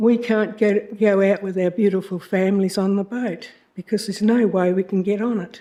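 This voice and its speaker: A woman's dark, mellow voice in an Australian accent, medium-pitched, at a moderate pace with monotone, flat intonation. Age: 80s+. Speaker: member of the public. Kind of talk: public statement. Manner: halting.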